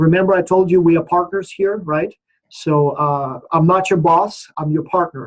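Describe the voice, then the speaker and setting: A man's high voice in a monotone, flat intonation. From Ukraine. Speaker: professor. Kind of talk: online orientation session. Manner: casual, uses many fillers.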